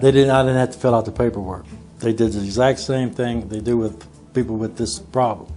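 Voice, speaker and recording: A man speaks at a medium pitch, with ordinary pitch variation. Music plays in the background. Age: 60s. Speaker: heart attack survivor. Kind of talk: testimony.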